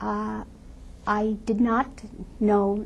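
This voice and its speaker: A woman speaks in a somewhat breathy voice. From Lithuania. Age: 70s. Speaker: Holocaust survivor. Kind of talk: testimony.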